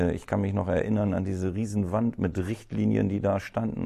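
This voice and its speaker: A man's dark, mellow voice, fairly low in pitch, in a flat monotone at a very fast clip against a quiet background. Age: 50s. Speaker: cleaning company owner. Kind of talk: interview. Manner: hesitant, many fillers.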